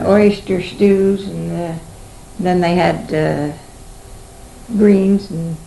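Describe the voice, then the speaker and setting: A woman with an American accent and a fairly low pitch speaks at a very slow pace with fairly even intonation, over noticeable background noise. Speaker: oral history interviewee. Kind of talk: interview answer. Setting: home recording, 1970s tape.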